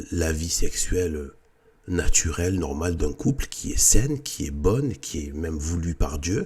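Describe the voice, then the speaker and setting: A man with a very deep, low pitch talks at a fairly slow pace over noticeable background noise. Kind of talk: casual monologue. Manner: halting.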